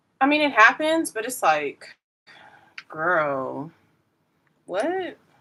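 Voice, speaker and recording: The tone is bright and sharp. Pitch swings very widely. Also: woman. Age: 30s. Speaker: beauty livestreamer. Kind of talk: casual chat while doing makeup on a livestream. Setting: livestream. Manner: animated.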